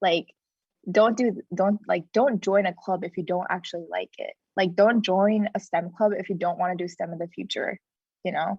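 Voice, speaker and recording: A woman's voice sits at a medium pitch, somewhat breathy, her intonation fairly even. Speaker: college student panelist. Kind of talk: panel discussion. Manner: fast.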